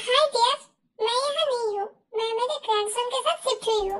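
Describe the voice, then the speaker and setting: A woman's squeaky, put-on character voice at an extremely high pitch, with ordinary pitch variation and a moderate pace. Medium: fan dub. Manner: sweet, affectionate.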